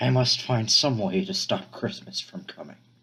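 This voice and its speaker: This man puts on a growling character voice at a medium pitch. His pitch swings very widely as he talks at a moderate pace. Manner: growling, snarling, sneering.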